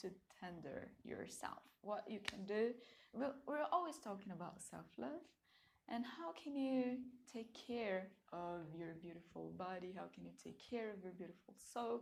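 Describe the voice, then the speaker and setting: A woman in a Portuguese accent, medium in pitch, with lively intonation at a moderate pace. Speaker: tarot card reader. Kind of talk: pick-a-card reading. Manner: casual, with filler words.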